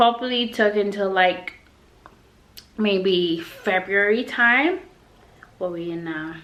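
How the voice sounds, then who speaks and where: A woman with a Yorkshire accent speaks with fairly even intonation. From Yorkshire, England. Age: young. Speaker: English teacher and vlogger. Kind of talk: casual talk to camera. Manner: outgoing, chatty.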